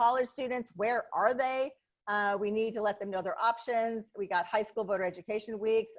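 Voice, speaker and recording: Speaking with an American accent, a woman has a fairly high pitch. The background is quiet. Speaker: county election official. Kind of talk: webinar presentation. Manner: fast; animated.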